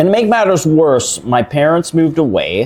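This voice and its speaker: Music plays in the background as a man with a Canadian accent talks at a moderate pace. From Canada, Toronto (Scarborough). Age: 50s. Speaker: shelter resident sharing his story. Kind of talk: interview conversation over a meal. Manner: halting, repeats words.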